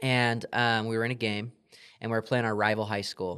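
A man with an American accent speaks in a bright, sharp tone with monotone, flat intonation. The recording is very clean, with a silent background. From Southern California, Yucaipa. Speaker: sales executive. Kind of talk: podcast interview.

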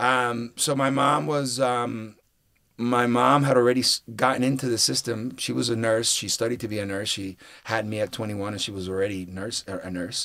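Medium male pitch, a bright, sharp tone, ordinary pitch variation and a moderate pace from a man. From Puerto Rico. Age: 40s. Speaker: actor. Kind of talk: casual interview chat.

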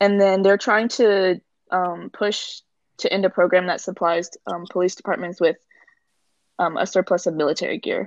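At a fairly quick pace, a woman speaks with a medium pitch, ordinary pitch variation and an unremarkable speaking voice. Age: 20s. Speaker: guest. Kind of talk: casual chat.

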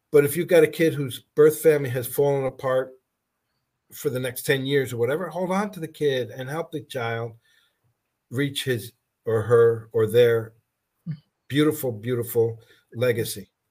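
The recording is very clean, with a silent background. A man speaks at a moderate pace in a somewhat breathy, medium-pitched voice with ordinary variation and long, frequent pauses. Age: 60s. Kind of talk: casual interview.

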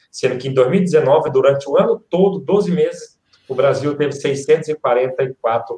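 With a dark, mellow tone and a somewhat breathy quality, a man speaks with lively intonation. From Ceará, Brazil (Quixeramobim). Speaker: motivational speaker. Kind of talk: live-stream interview.

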